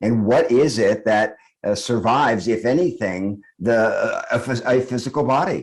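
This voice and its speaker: This is a man with a normal speaking voice at medium pitch and ordinary pitch variation. He keeps a moderate pace and very even loudness. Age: 60s. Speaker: author and spiritual teacher. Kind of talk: podcast interview. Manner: reflective, with frequent fillers.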